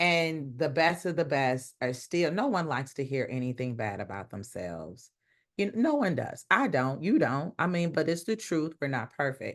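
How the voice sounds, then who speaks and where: An animated tone comes through at a moderate pace against a quiet background. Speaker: leadership speaker. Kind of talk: interview. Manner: loud.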